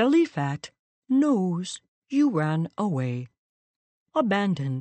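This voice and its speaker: A put-on character voice, female-sounding and medium in pitch, with very wide pitch swings at a fairly slow pace. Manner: gulping at the end of each word.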